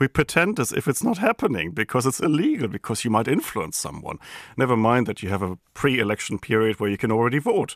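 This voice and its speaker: With a German accent and lively intonation, the speaker goes at a very fast pace on a very clean recording with a silent background and a dry, close sound with no echo. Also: man, medium pitch for a man. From Germany. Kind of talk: interview.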